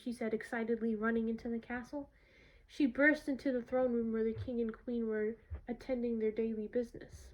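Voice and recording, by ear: The voice reads aloud in a natural voice with fairly even intonation.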